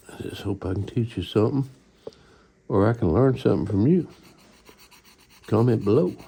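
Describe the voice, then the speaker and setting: A somewhat breathy man's voice, dark and mellow, fairly low in pitch, fairly quick with lively intonation and long, frequent pauses. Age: 60s. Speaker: model-building hobbyist YouTuber. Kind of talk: casual tutorial.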